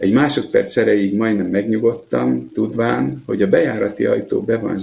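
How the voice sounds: The voice reads in a natural way.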